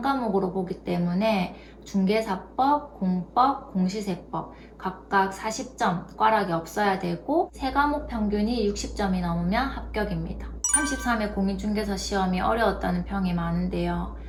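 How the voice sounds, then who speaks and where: The room's echo can be heard. A woman talks fairly slowly. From South Korea, Gyeongsang region. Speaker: youtuber, former nurse. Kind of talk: tutorial.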